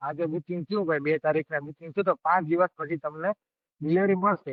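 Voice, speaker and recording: The speaker is a man with a high voice. His intonation stays fairly even. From Morbi, Kathiyawad, Gujarat. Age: young. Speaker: courier business owner. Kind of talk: podcast interview answer.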